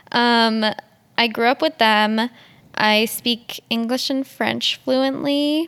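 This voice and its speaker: A woman with a Western Canadian accent, high-pitched, very slow, fairly even in intonation, in a dry, close sound with no echo. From Edmonton, Alberta, Canada. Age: 20s. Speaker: podcast co-host and photography student. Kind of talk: casual chat.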